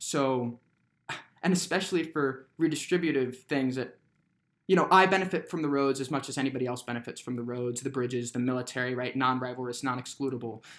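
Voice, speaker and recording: With an American accent and an unremarkable speaking voice, a man talks at a medium pitch and fairly quick pace with ordinary pitch variation. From Brooklyn, New York. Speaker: college student, libertarian. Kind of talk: casual discussion.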